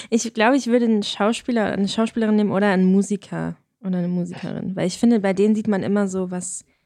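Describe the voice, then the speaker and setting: A woman at medium pitch, very fast in pace, her intonation fairly even. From Hesse, Germany. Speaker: student filmmaker and podcast co-host. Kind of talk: casual chat.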